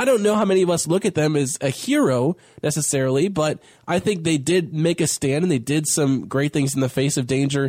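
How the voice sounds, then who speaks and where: In a dry, close recording with no echo, a man with a normal speaking voice talks at a fairly high pitch with ordinary pitch variation. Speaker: radio host. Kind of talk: casual radio chat.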